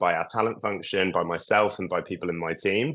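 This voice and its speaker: Against a quiet background, a man with a British accent talks at a fairly quick pace, his fairly low voice showing ordinary pitch variation. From UK. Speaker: early career program lead. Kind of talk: webinar panel talk. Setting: video call.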